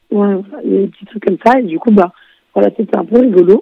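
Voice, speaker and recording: A woman of medium pitch speaks at a fairly quick pace with vocal fry and ordinary pitch variation, in a dry, close sound with no echo. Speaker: board game festival reporter. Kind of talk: casual chat. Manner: halting.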